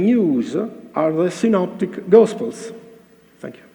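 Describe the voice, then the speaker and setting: A man with an Italian accent speaks with lively intonation amid audible room echo and noticeable background noise. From Italy. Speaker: cardiologist presenting at a conference. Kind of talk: conference lecture read from paper. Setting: conference stage with audience. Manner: halting, hesitant non-native English.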